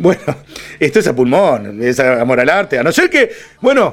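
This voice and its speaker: An animated male voice over music in the background. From Uruguay (Florida department). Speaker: radio host. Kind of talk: casual chat.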